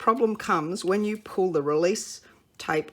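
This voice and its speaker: In an Australian accent, a woman talks at a moderate pace with ordinary pitch variation. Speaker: papercraft demonstrator. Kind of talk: tutorial.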